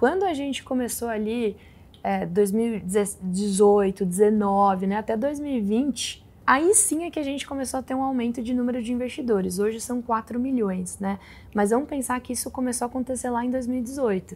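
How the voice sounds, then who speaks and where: A woman speaks in a normal speaking voice, fairly high in pitch, at a moderate pace with ordinary pitch variation. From interior of São Paulo state, Brazil. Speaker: investment fund director; guest. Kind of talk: interview. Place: studio.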